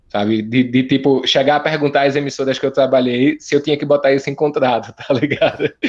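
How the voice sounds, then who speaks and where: A man with a northeastern Brazilian accent, fairly high pitch, monotone flat intonation and a fairly quick pace. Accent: northeastern Brazilian, kept. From Olinda, Pernambuco, Brazil. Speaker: musician and TV presenter. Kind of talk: interview. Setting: phone call. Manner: casual, halting. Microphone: phone line trouble.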